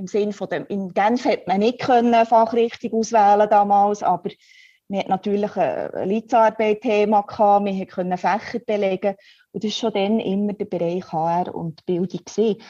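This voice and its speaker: Against a quiet background, a woman with a dark, mellow tone speaks at a moderate pace with fairly even intonation. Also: medium pitch for a woman. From Switzerland, Biel (bilingual region). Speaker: head of continuing education. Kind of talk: interview.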